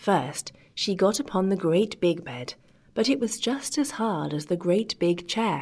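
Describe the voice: Plain reading aloud is all this clip holds.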